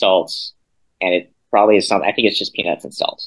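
The background stays quiet. The man talks with an American accent. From South Carolina. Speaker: graduate student. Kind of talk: casual chat.

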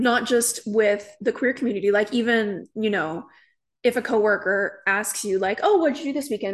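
Speaking at a fairly quick pace, a woman uses a fairly high pitch against a quiet background. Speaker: podcast co-host. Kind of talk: casual chat. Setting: studio couch, in person.

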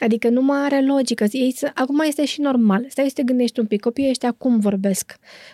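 A woman's high, dark, mellow voice at a fairly quick pace, with fairly even intonation, very even loudness, hardly any pauses, and a dry, close sound with no echo. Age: 40s. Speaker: book critic and editor. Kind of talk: casual chat.

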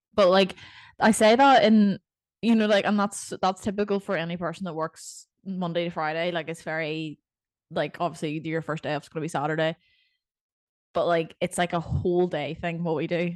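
A woman with a Northern Irish accent at a moderate pace, against a quiet background, with a dry, close sound and no echo. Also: fairly low pitch for a woman, ordinary pitch variation. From Northern Ireland. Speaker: podcast co-host and personal trainer. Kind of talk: casual chat.

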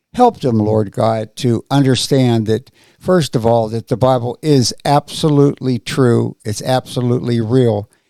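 In a plain, everyday voice, a man of medium pitch talks at a fairly slow pace with fairly even intonation, the sound dry and close with no echo. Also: hardly any pauses. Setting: studio.

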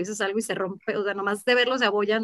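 A woman at fairly high pitch with monotone, flat intonation and a dry, close sound with no echo. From Mexico, Mexico City and Guadalajara. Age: 30s. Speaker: marketing director. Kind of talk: interview.

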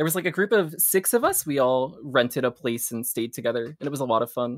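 Heard in a dry, close sound with no echo, a man speaks fairly quickly at a medium pitch with ordinary pitch variation. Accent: American. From US Northeast, New Jersey. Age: 20s. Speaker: speedrunner. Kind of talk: casual interview chat. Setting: live stream.

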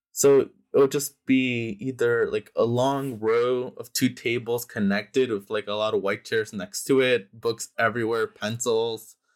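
A man talks at a fairly slow pace in a monotone, flat intonation, with hardly any pauses. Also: medium pitch for a man. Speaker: printmaking collective member. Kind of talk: casual interview conversation.

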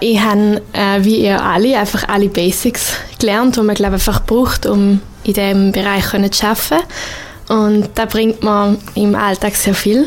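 Over noticeable background noise, a woman at medium pitch keeps her loudness very even and her intonation fairly even. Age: 20s. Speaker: multimedia producer and wedding photographer. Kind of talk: radio interview.

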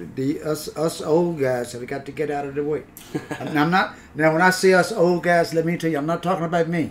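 A man speaks at a fairly quick pace and a fairly high pitch with fairly even intonation. Noticeable background noise can be heard. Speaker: podcast host. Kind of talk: casual chat. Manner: halting, repeats words.

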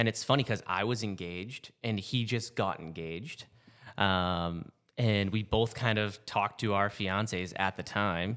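A normal speaking voice with an American accent moves at a moderate pace. The recording is very clean, with a silent background. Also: man. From Massachusetts and New Hampshire. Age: 30s. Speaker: flight medic and army veteran. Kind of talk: casual chat.

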